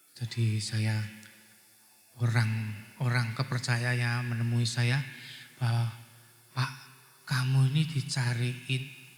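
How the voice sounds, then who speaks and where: Amid audible room echo, a man speaks in a monotone, flat way at a very slow pace with long, frequent pauses. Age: 60s. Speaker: guest preacher and businessman. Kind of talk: sermon. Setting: church.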